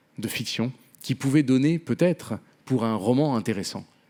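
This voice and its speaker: Pitch varies in an ordinary way while the delivery holds a moderate pace. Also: man. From Venezuela. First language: Spanish (speaking French). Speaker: novelist. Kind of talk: panel talk. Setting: theatre stage with audience.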